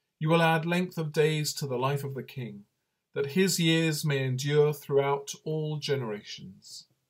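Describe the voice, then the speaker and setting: Fairly slow, somewhat breathy male speech. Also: quiet background. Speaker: priest leading online night prayer. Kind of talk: fervent prayer; liturgical prayer and short reflection. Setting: online video broadcast during lockdown. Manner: earnest, fervent, intoning psalm in devout tone; slow, calm, reverent. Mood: calm, reverent. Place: home room. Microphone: webcam.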